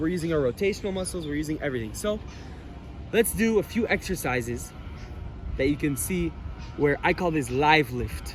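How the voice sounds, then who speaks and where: Music in the background behind a man speaking at a fairly quick pace, his pitch fairly high with ordinary variation. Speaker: fitness instructor. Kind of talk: tutorial. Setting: outdoors in a park. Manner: casual; loud.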